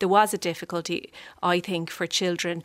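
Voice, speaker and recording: A woman speaks in a monotone with flat intonation and fairly low pitch. The recording is very clean, with a silent background. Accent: Irish. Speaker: politician. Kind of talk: radio panel debate. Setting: studio.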